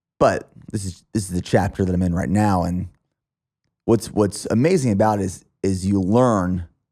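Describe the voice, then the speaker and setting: A man with a very deep, low pitch and a dark, mellow tone speaks at a moderate pace in a Pennsylvania accent, on a very clean recording with a silent background. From Pennsylvania, US. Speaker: podcast host and fitness athlete. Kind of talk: podcast interview conversation.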